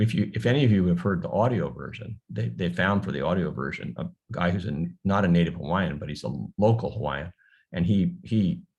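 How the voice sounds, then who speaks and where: Fairly quick and lively in intonation, a man with an American accent speaks in a very deep, low pitch with vocal fry. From US mainland. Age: 70s. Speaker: novelist. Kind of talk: book talk Q&A. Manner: halting, many repetitions.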